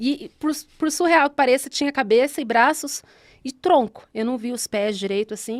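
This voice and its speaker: A woman's high voice in a São Paulo interior accent, ordinary pitch variation, dry, close sound with no echo, very clean recording, silent background. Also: moderate pace, big swings in loudness. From Brazil, São Paulo state interior (Guararema). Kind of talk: personal testimony in casual podcast chat.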